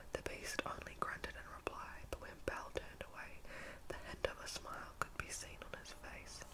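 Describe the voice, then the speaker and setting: Whispering at a moderate pace with big swings in loudness, a woman is heard over noticeable background noise. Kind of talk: storybook reading. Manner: whispered, soft.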